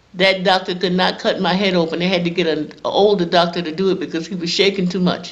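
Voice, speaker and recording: A woman at a medium pitch, fairly quick, with flat, monotone intonation. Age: 70s. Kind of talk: interview answer, personal testimony.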